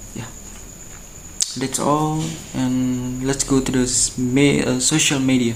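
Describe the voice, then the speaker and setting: A man's monotone, flat voice at a very slow pace with long, frequent pauses, amid noticeable background noise and audible room echo. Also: medium pitch for a man. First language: Indonesian. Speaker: university student. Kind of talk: student video presentation. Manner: halting.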